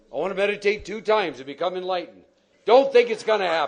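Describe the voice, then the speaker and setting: With an American accent, a man talks at a fairly quick pace. His tone is animated. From Texas. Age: 60s. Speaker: recovery speaker. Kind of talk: Q&A talk at a recovery meeting. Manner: direct, no-nonsense.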